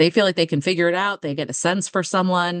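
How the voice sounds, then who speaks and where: A woman talks at a fairly quick pace in an ordinary speaking voice with a fairly low pitch. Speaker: political organization founder. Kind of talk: casual interview chat.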